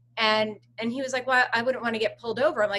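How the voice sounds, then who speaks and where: A raised, projected woman's voice, bright and sharp in tone. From Pennsylvania, US. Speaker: podcast host. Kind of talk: interview conversation. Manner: animated.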